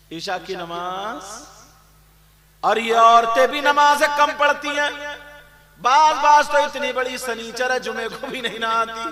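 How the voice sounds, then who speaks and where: A man in a raised, projected voice speaks at an extremely high pitch with ordinary pitch variation and big swings in loudness. Long, frequent pauses break up his speech over noticeable background noise. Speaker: Islamic preacher. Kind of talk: religious sermon to a live audience. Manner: emotional, rousing.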